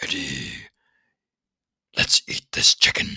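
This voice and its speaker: This is a put-on character voice. It sounds raspy. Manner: gruff, intelligent.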